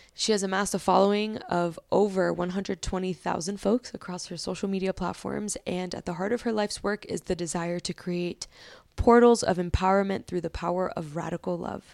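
An unremarkable speaking voice from a woman at medium pitch and a fairly quick pace, in a dry, close sound with no echo and a very clean recording over a silent background. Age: 30s. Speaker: podcast host. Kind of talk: casual interview chat. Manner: warm, upbeat.

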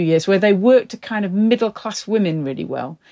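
A woman speaks at a medium pitch and a fairly quick pace, her tone dark and mellow and her intonation lively, in a dry, close recording with no echo and a quiet background. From northern England. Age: 50s. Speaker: journalist and broadcaster. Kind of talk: interview.

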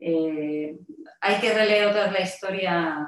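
A woman with a fairly low voice and fairly even intonation has an ordinary speaking voice. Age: 50s. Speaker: health coach and mentor. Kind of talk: interview.

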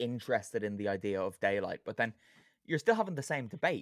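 Very fast and full of very wide pitch swings, a man's voice comes through dry and close with no echo on a very clean recording with a silent background. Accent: Irish. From Ireland. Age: 20s. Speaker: football podcast host. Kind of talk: casual chat.

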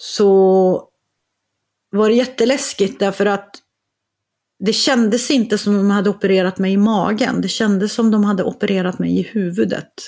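A woman with an unremarkable speaking voice talks at a moderate pace and a medium pitch, keeping her loudness very even and her intonation fairly even. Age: 50s. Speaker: author and entrepreneur. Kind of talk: casual chat.

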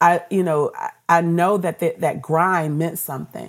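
With an American accent, a normal speaking voice moves at a moderate pace with fairly even intonation. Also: woman. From Washington D.C. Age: 50s. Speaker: radio executive. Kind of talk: interview.

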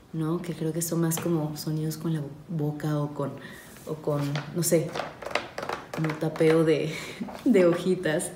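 A soft-spoken woman talks slowly in a fairly low pitch with monotone, flat intonation. There is audible room echo and noticeable background noise. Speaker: podcast host. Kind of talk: ASMR-style philosophy reading. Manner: soft, calm and slow; hesitant, many fillers.

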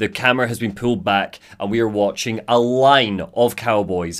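A man with a Scottish accent, medium in pitch. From Scotland. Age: 20s. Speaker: podcast host. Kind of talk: casual chat.

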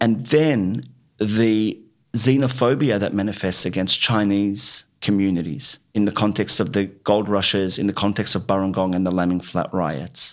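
With an Australian accent, a man speaks at a moderate pace in a fairly low pitch with ordinary pitch variation. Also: very clean recording, silent background. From Western Sydney, Australia. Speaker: writer and playwright. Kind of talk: interview. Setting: in-person recording in Fairfield.

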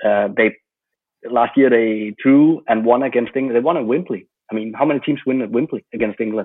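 Speaking at a medium pitch with fairly even intonation, a man talks with a Danish accent. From Denmark. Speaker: football journalist. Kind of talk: interview.

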